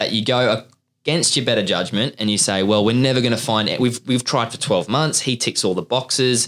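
A man speaks in a normal speaking voice at a medium pitch with ordinary pitch variation. His pace is fairly quick and his loudness very even. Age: 20s. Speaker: recruitment podcast host. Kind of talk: casual chat.

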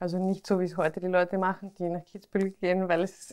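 Here a woman speaks in an Austrian accent at medium pitch. Her pace is fairly quick. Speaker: podcast host and pharmacist. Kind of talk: interview. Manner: animated.

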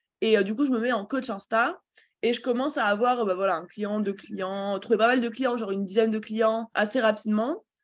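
With an unremarkable speaking voice, a woman talks at a moderate pace in a fairly high pitch with ordinary pitch variation. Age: 20s. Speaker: entrepreneur and business coach. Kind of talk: interview.

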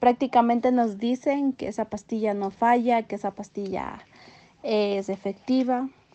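Her pitch fairly high, a woman speaks with fairly even intonation. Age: 20s. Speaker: young mother sharing her story. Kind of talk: personal testimony interview.

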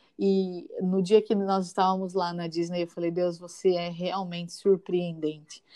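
Soft-spoken and calm, a woman talks at a fairly slow pace in a dark, mellow tone with monotone, flat intonation. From São Paulo, East Zone. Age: 30s. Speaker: schoolteacher. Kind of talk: casual chat with faith encouragement.

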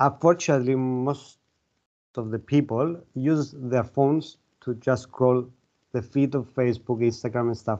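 A man speaks in a Cypriot accent with a dark, mellow tone. His intonation stays fairly even. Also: medium pitch for a man, moderate pace. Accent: Greek Cypriot. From Cyprus (Larnaca). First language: Greek. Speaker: mind and body coach and author. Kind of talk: interview.

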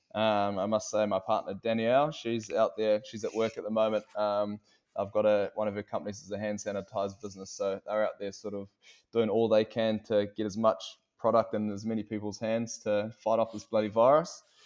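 Over a quiet background, a man talks in a New Zealand accent. His fairly low voice stays monotone and flat. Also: fairly quick pace. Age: 20s. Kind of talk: casual chat. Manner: halting.

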